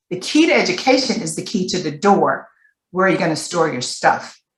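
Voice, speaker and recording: Here is a normal speaking voice, a woman at medium pitch. Her intonation is lively and her pace moderate. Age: 60s. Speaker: panelist, former foster youth. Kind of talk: webinar panel discussion.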